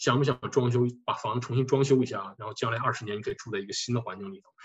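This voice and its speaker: A man speaks at a very fast pace and a medium pitch. His voice is somewhat breathy. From northeast China (Harbin). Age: 40s. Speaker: tax accountant. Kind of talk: lecture.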